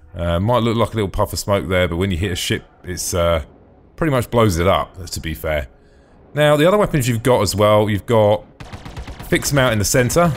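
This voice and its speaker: Noticeable background noise sits behind a man with fairly low pitch. He speaks at a fairly quick pace with lively intonation. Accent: British. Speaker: gaming video host. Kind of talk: casual gameplay commentary. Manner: enthusiastic.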